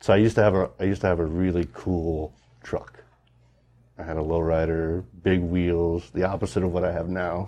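The voice moves at a fairly quick pace, its dark, mellow tone held in a monotone, flat intonation. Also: man, very deep, low pitch for a man. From South Dakota, Rapid City. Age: 30s. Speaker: fly fishing guide. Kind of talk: casual chat. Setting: fly shop.

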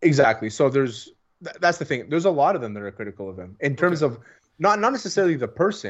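A man with a fairly high pitch and vocal fry talks at a very fast pace, his loudness swinging widely and his pitch swinging very widely. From Greek heritage. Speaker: sports podcast co-host. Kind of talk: casual chat.

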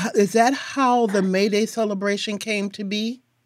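A woman with an American accent, fairly high in pitch, at a fairly slow pace in an unremarkable speaking voice. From Milwaukee, Wisconsin. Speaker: podcast host. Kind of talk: interview and scripted narration.

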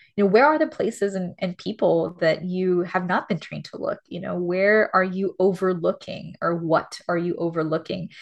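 A woman with a fairly low pitch and an American accent. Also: quiet background. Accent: Miami Cuban American English. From Miami, Florida (Cuban American community). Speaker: theologian and author. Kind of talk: interview conversation. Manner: animated, many fillers and laughs.

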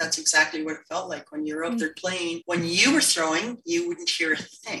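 Speaking at a fairly quick pace in a plain, everyday voice, a woman with a Canadian accent sounds fairly low in pitch, with ordinary pitch variation. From Canada, northern British Columbia. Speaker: Paralympic wheelchair curler. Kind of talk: interview conversation. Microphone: poor audio quality.

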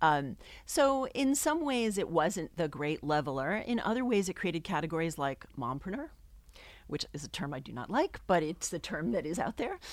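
Moving at a fairly quick pace, a woman speaks with very wide pitch swings. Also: very clean recording, silent background. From New England. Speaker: professor. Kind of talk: casual interview.

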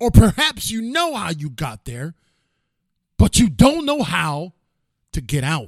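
A man with a high pitch uses an animated, theatrical tone with very wide pitch swings and big swings in loudness, at a fairly slow pace with long, frequent pauses. The sound is dry and close with no echo, on a very clean recording with a silent background. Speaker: podcast host and motivational speaker. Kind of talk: dramatic storytelling narration. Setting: live-streamed studio with audience. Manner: animated, theatrical, building suspense; high-energy, motivational, emphatic.

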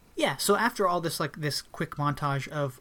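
A man's ordinary speaking voice, fairly high in pitch, at a fairly quick pace with ordinary pitch variation. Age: 20s. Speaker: podcast co-host reviewing films. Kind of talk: casual chat.

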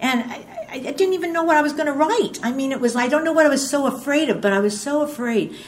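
Noticeable background noise accompanies a woman speaking at a fairly quick pace with a high pitch. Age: 70s. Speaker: twelve-step workshop speaker. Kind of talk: testimony. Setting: stage with audience. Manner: rambling storyteller.

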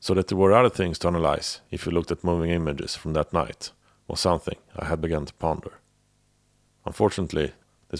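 A man's very deep, low voice, dry and close with no echo, in a very clean recording over a silent background. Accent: European. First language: not English. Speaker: podcast host. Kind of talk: scripted narration of a true-crime series. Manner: slightly halting, with filler words.

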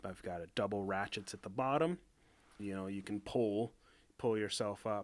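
In a very clean recording with a silent background, a man speaks with a plain, everyday voice at a fairly low pitch, a moderate pace and ordinary pitch variation. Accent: American. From Idaho, US. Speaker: boat rigger. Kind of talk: casual interview. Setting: workshop.

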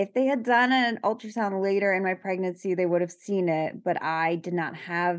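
A woman with an American accent speaks at a moderate pace in a medium pitch, with an unremarkable speaking voice, ordinary pitch variation, and a quiet background. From New York. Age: 30s. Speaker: parent of a child with a rare skin condition. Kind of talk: interview.

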